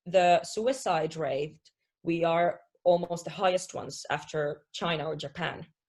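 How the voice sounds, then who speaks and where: A woman with a Finnish accent and a fairly low pitch speaks at a fairly slow pace. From Finland. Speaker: positive psychology coach. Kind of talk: interview.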